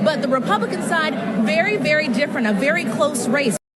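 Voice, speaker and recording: Noticeable background noise sits behind a woman with an American accent. She speaks at a fairly high pitch and a fairly quick pace. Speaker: TV news reporter and fill-in anchor. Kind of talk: TV news reporter and anchor delivery. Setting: live field report on location.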